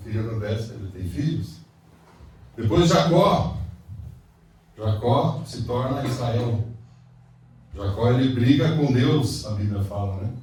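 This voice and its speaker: Through noticeable background noise and audible room echo, a man at medium pitch speaks fairly slowly with lively intonation and long, frequent pauses. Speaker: pastor. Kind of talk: sermon. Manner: calm; soft-spoken.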